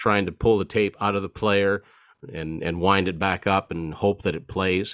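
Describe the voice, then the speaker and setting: An ordinary speaking voice, moderate in pace, intonation fairly even. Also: man. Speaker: author and music collector. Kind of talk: casual chat.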